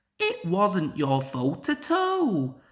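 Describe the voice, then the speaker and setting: Someone performs a put-on character voice with music in the background. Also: woman, medium pitch for a woman. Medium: read story.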